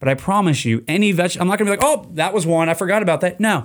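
On a very clean recording with total background silence, a man speaks very fast. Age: 30s. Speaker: podcast host. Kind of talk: casual solo podcast monologue. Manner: casual, filler-heavy.

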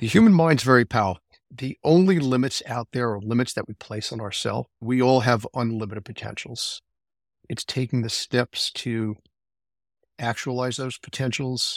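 A man with an unremarkable speaking voice talks at a medium pitch and moderate pace, in a very clean recording with a silent background and a dry, close sound with no echo. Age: 60s. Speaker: mountain climber. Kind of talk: interview.

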